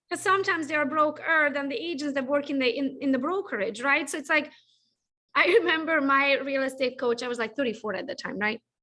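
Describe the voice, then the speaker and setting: Against a quiet background, a woman with a non-native accent talks very fast in a raised, projected, high-pitched voice with a bright, sharp tone and ordinary pitch variation. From Europe. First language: not English. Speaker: podcast host. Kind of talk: interview.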